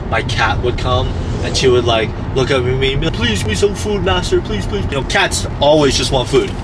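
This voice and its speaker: Amid noticeable background noise and audible room echo, a man is talking. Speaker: vlogger. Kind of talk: casual vlog monologue. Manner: whispering at lunch; casual, rambling with repetitions.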